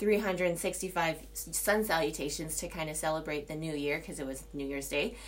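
Audible room echo surrounds a woman's voice. She speaks at a moderate pace with lively intonation. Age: 30s. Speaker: solo podcaster, yoga teacher. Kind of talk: casual monologue. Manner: rambling with many fillers.

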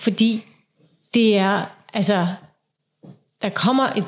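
Her pitch fairly high for a woman, she keeps a fairly even intonation. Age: 40s. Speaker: podcast co-host. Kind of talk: casual chat.

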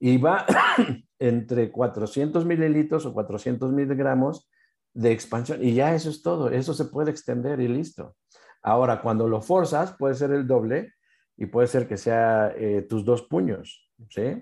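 Against a quiet background, a man talks at a medium pitch with ordinary pitch variation in a normal speaking voice. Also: fairly slow pace. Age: 50s. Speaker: naturopathy expert. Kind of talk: interview explanation.

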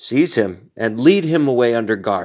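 Recorded very cleanly against a silent background, a man with a plain, everyday voice talks at a medium pitch and a fairly slow pace. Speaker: pastor leading daily prayer. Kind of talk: fervent prayer. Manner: solemn, earnest, pleading.

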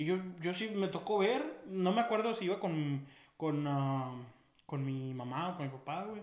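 Amid audible room echo and noticeable background noise, a man speaks fairly slowly with lively intonation and a high pitch. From Mexico, Aguascalientes. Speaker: podcast co-host. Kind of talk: casual chat.

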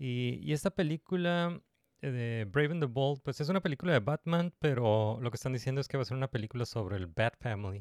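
A man with an unremarkable speaking voice talks at a fairly quick pace and medium pitch with lively intonation. The recording is very clean with a silent background and a dry, close sound with no echo. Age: 30s. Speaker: podcast host. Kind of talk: casual chat.

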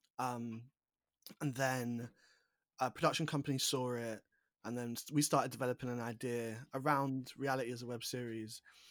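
With a London accent, a man speaks at a moderate pace and medium pitch in a monotone, flat intonation, leaving long, frequent pauses, on a very clean recording with a silent background. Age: 20s. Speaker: writer, author and actor. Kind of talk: casual interview chat. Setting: call.

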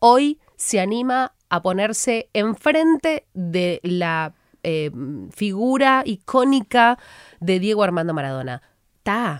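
In a very clean recording with a silent background and a dry, close sound with no echo, a woman speaks very slowly with very wide pitch swings. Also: medium pitch for a woman. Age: 30s. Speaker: sports journalist and broadcaster. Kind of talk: interview.

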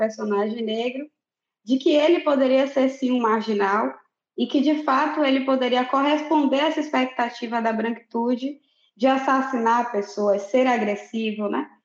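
At a moderate pace, a woman talks in a high voice. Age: 20s. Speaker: literature graduate student and activist. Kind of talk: book discussion podcast.

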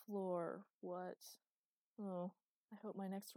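Against a quiet background, the reading voice sounds unforced.

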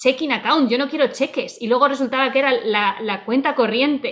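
At a very fast pace, a woman speaks in a high voice with ordinary pitch variation. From Spain (Salamanca, Murcia). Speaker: podcast co-host, teacher. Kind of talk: casual chat.

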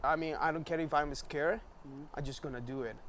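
Speaking in a Spanish accent, a man talks at a fairly quick pace with a fairly high pitch. His intonation is monotone and flat. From Venezuela, Maracaibo. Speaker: graphic designer. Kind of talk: casual chat.

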